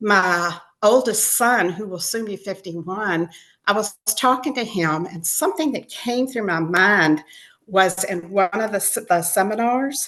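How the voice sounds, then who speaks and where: A woman with an American accent speaks at a fairly slow pace in a medium pitch. Her tone is bright and sharp, with ordinary pitch variation. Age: 70s. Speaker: writer. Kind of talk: interview.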